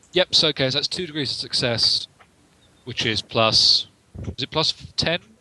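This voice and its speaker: Over noticeable background noise, a man with a fairly high pitch and ordinary pitch variation speaks at a moderate pace with long, frequent pauses, the sound dry and close with no echo. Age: 20s. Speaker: tabletop roleplaying game player. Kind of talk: tabletop game session, casual.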